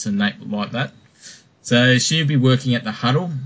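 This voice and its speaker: In an Australian accent, a man with a somewhat breathy, medium-pitched voice speaks at a fairly quick pace. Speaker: podcast host. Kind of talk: casual chat.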